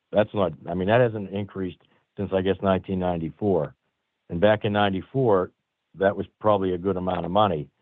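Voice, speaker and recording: A man speaks with an American accent. His pitch is very deep and low, and his intonation stays fairly even. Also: fairly quick pace. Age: 60s. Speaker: constable. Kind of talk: public meeting comment.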